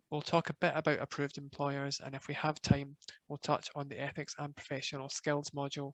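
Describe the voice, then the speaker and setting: Fairly high in pitch, a man speaks fairly quickly in a monotone, flat delivery. The sound is dry and close with no echo, over a quiet background. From Scotland, Glasgow. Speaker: professional body manager. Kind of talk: webinar presentation.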